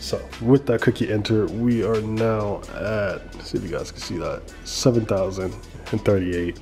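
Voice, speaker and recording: Over faint background music, a man speaks at a moderate pace with big swings in loudness. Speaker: vlogger. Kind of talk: casual vlog chat. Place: home room. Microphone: phone near.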